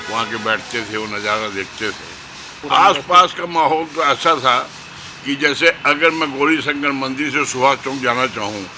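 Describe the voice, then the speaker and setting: Against noticeable background noise, a man with a fairly high pitch speaks with ordinary pitch variation. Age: 70s. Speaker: local elder. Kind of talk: interview reminiscence. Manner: halting.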